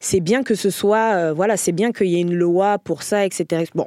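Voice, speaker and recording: The recording is very clean, with a silent background and a dry, close sound with no echo. A woman speaks at a medium pitch. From France, Paris area. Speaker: comedian. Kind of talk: casual chat.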